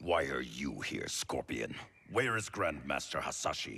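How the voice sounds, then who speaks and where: A man growls in a put-on character voice, very deep and low in pitch. He keeps a moderate pace. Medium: video game. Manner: terse, guarded.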